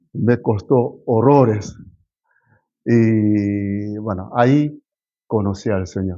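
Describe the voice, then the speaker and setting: A man talks with fairly even intonation. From South Korea, moved to Argentina at 15. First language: Korean (speaking Spanish). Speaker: pastor. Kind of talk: sermon. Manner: halting, with fillers and self-corrections.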